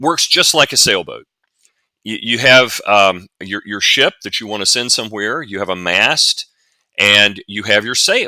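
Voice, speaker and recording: On a very clean recording with a silent background, a man with a Southern US accent speaks fairly slowly at a fairly low pitch. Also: ordinary pitch variation. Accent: southern US drawl. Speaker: science fiction author and futurist. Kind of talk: interview. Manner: explanatory, some repetitions and false starts.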